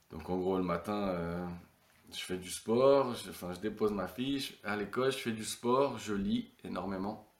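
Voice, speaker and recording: A fairly low-pitched male voice at a very slow pace, with ordinary pitch variation and audible room echo. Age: 30s. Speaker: retired professional footballer. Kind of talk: casual interview.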